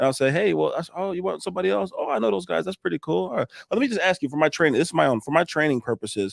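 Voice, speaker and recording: Animated man's voice, fairly high-pitched with very wide pitch swings and vocal fry, dry and close with no echo on a very clean recording against a silent background. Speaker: roofing contractor. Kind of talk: casual chat. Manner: fast.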